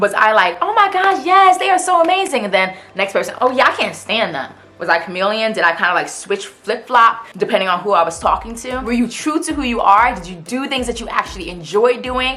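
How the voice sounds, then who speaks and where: Over noticeable background noise and audible room echo, a woman talks in an animated tone at a fairly quick clip, her pitch swinging very widely and hardly any pauses breaking her speech. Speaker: self-help YouTuber. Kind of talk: motivational vlog talk. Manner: fast.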